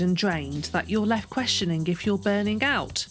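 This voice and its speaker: A woman speaks at a moderate speed as music plays behind her. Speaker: podcast host. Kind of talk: podcast intro.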